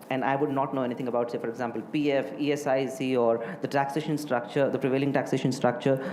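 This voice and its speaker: With an Indian accent, a man speaks at medium pitch and with fairly even intonation, amid noticeable background noise and audible room echo. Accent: sounds Indian. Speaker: hotelier. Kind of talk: interview. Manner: hesitant, many fillers.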